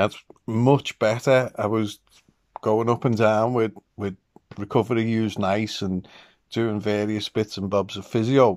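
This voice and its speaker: A man with a British accent speaks at a fairly slow pace against a quiet background. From England. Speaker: vlogger. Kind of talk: casual monologue. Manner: animated, excitable. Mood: upbeat, enthusiastic. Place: home room. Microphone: phone near.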